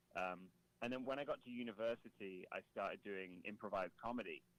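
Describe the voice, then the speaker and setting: A British accent at a fairly quick pace. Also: man. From Britain. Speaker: comedy rapper. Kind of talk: casual chat.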